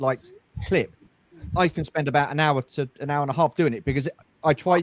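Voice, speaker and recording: A man with a British accent, fairly high pitch and fairly quick pace, in a dry, close sound with no echo. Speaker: toy collector YouTuber. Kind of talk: casual chat. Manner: fast when excited.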